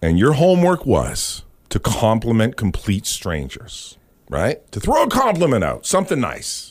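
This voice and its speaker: In a very clean recording with a silent background, a man with a Canadian accent speaks at a fairly slow pace in a passionate, animated tone. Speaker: radio podcast host. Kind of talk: casual chat.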